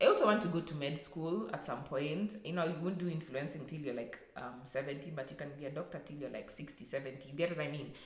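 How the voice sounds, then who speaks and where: With noticeable background noise and audible room echo, a woman talks at a very fast pace in a very deep, low voice with ordinary pitch variation. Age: 20s. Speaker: vlogger. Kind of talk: personal rant vlog. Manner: halting, many fillers.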